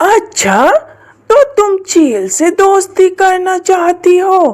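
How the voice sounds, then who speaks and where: A cartoonish character voice, female-sounding, at an extremely high pitch and a very slow pace. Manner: scheming, theatrical.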